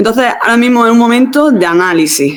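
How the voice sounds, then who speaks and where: With a slight Andalusian accent, a woman speaks in very wide pitch swings. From Andalusia, southern Spain. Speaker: exam preparation teacher. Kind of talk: online class. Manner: halting.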